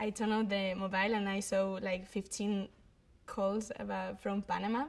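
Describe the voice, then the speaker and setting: The speaker is a woman. She has a Spanish accent. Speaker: actress. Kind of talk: interview. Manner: halting.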